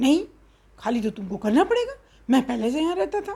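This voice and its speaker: A woman puts on a character voice, high in pitch with very wide pitch swings, talking at a fairly quick pace. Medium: read story.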